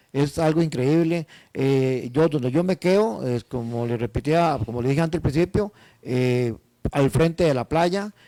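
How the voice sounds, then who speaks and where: This man's fairly high voice has a dark, mellow tone, ordinary pitch variation and a fairly slow pace, recorded dry and close with no echo. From Costa Rica, northern region. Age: 60s. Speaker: tour organizer, business owner. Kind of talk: interview.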